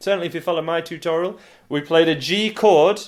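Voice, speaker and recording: A high-pitched man with a Yorkshire accent, in a very clean recording with a silent background. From northern England, Yorkshire. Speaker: guitar teacher. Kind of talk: tutorial. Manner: casual, hesitant with fillers.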